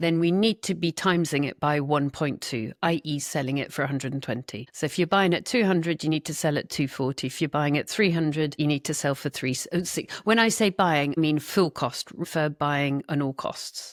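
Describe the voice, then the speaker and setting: With a Scottish accent, a woman speaks fairly quickly, with hardly any pauses, in a very deep, low pitch and ordinary pitch variation, the sound dry and close with no echo on a very clean recording with a silent background. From Scotland. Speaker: property investor. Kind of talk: interview.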